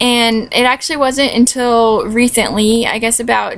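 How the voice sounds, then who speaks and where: The speaker has an American accent. The intonation stays monotone and flat. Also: woman. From California. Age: 20s. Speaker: vlogger, recent graduate. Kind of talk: casual vlog. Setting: at home. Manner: casual, many fillers.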